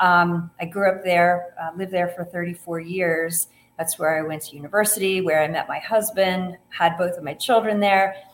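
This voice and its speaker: In a Midwestern American accent, a woman speaks at a fairly low pitch. Her pace is moderate and her intonation fairly even. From US Midwest, Ohio. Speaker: author and breast cancer survivor. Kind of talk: interview conversation.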